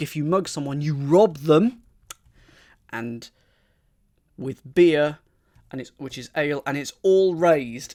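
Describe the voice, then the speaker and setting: With lively intonation, a man with an English accent speaks at a fairly slow pace. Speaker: crossword solver streamer. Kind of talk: live-streamed puzzle solving with chat. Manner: thinking aloud, hesitant.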